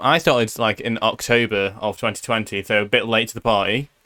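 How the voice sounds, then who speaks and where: A man with a British accent speaks at medium pitch with a bright, sharp tone. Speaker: podcast host and streamer. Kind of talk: casual chat. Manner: animated.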